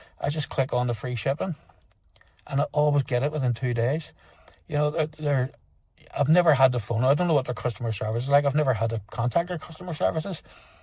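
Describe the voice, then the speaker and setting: Speaking very fast in a Northern Irish accent, a man uses a fairly high, somewhat breathy voice. He leaves long, frequent pauses. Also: ordinary pitch variation. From Northern Ireland. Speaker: motorcycle vlogger. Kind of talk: product review. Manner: halting, many fillers and repeats; casual.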